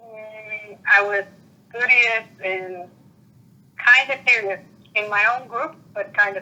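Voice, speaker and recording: Talking at a very slow pace with long, frequent pauses, a woman with a Spanish accent uses a fairly high pitch, ordinary pitch variation and big swings in loudness. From Puerto Rico. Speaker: interviewee. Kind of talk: interview. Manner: halting.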